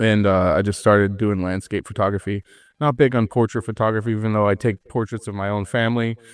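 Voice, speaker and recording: A man with an American accent speaks very fast at a fairly low pitch, in a monotone, flat intonation. The sound is dry and close with no echo, over a quiet background. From New York. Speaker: photographer and content creator. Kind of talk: casual chat.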